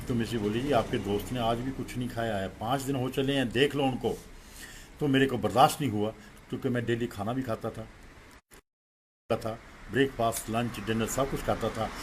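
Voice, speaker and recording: The man sounds somewhat breathy, with fairly even intonation. He leaves long, frequent pauses. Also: medium pitch for a man, moderate pace. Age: 60s. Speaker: devotee and childhood friend of a guru. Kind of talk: spiritual testimony at a satsang.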